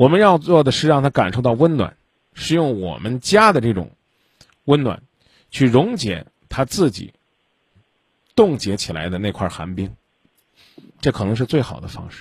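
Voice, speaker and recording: With vocal fry and very wide pitch swings, a man speaks at medium pitch and a moderate pace, pausing long and often. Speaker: radio call-in advice host. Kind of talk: call-in advice, blunt questioning. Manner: blunt, interrupting.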